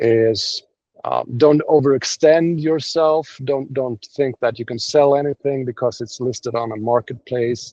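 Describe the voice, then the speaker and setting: A man's dark, mellow voice at a medium pitch, with a non-native accent, fairly even intonation, a fairly slow pace and a dry, close sound with no echo. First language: not English. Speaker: domain investor. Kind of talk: interview. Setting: video call. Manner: halting.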